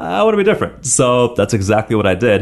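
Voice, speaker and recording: A man talks at a very fast pace with lively intonation and an enthusiastic tone. Noticeable background noise sits under his voice. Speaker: fitness trainer. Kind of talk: casual interview. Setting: studio.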